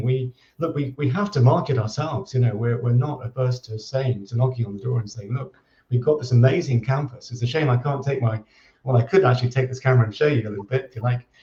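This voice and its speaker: A man with a medium pitch, very fast pace, dark, mellow tone, somewhat breathy quality and ordinary pitch variation. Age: 60s. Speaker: agricultural college director. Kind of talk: interview. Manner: halting, many repetitions.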